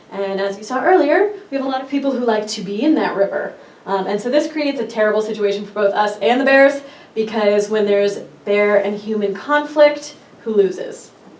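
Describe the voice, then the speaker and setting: Against noticeable background noise and audible room echo, a woman talks at a fairly quick pace, her fairly high voice showing ordinary pitch variation. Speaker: park ranger. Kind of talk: presentation. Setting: workshop presentation. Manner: fast.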